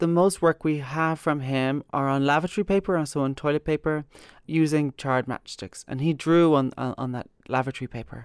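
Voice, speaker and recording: In a very clean recording with a silent background and a dry, close sound with no echo, a woman with an Irish accent and a very deep, low pitch talks at a fairly quick pace with ordinary pitch variation. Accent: Irish (Galway). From Ireland, Galway (Kilcolgan). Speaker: curator and writer. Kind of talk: interview. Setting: gallery.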